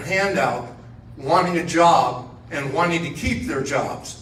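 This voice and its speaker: With audible room echo and noticeable background noise, a man with a fairly high voice speaks at a fairly slow pace and ordinary pitch variation. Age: 70s. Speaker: congressional candidate. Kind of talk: campaign speech.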